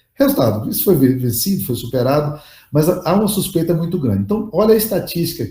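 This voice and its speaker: A man's fairly high, dark, mellow voice with vocal fry and lively intonation, very fast, amid audible room echo. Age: 60s. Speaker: pastor and leadership teacher. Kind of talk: lecture. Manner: casual, conversational.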